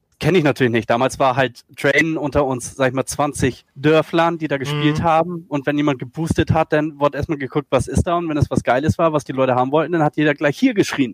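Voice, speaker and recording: A man talks at a very fast pace with hardly any pauses, his fairly high voice held to a fairly even intonation in a dry, close recording with no echo. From northern Germany, Schleswig-Holstein. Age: 40s. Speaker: esports video editor. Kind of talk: podcast interview.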